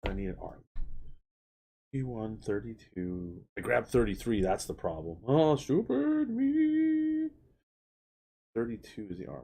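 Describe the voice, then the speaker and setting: A put-on character voice mumbles at a low pitch and a moderate pace. Long, frequent pauses break up the speech. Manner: mumbling to himself or herself.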